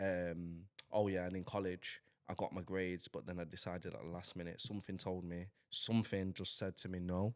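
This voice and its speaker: Speaking with a Mancunian accent, a man with a very deep, low pitch talks at a fairly quick pace in an animated tone. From Manchester, northern England. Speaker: rapper and DJ. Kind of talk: podcast interview.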